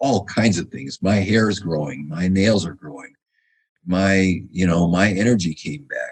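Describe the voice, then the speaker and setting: A man with a very deep, low pitch, ordinary pitch variation and big swings in loudness. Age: 70s. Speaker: functional medicine doctor. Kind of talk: interview.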